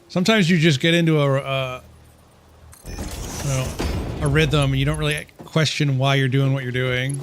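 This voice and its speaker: Over noticeable background noise and audible room echo, a man with a fairly high pitch talks at a moderate pace with fairly even intonation and long, frequent pauses. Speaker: gaming streamer. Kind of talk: live gameplay stream commentary. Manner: casual, self-talking.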